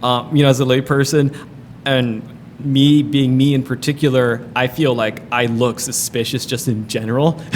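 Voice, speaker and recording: Over noticeable background noise, a medium-pitched man talks at a moderate pace with monotone, flat intonation. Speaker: talk show host. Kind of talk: casual chat. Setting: underwater observatory. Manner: loud.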